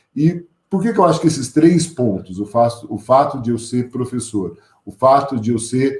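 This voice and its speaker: Somewhat breathy and dark, mellow in tone, a man with a São Paulo interior accent speaks at a moderate pace with a medium pitch. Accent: caipira São Paulo interior. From interior of São Paulo state, Brazil. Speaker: teacher and school director, invited speaker. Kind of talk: lecture. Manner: conversational, with hesitations.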